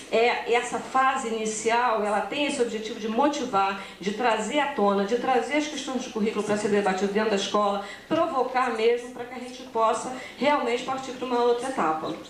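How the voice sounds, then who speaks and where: With hardly any pauses, a woman speaks at a high pitch with ordinary pitch variation, amid noticeable background noise and audible room echo. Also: fairly quick pace. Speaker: academic researcher presenting. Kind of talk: conference presentation. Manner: fast; hesitant fillers.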